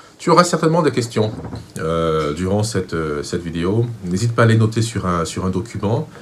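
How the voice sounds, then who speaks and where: Delivered at a fairly slow pace in a Cameroonian accent, the speech has lively intonation over noticeable background noise. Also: man. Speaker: vocal coach. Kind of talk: tutorial.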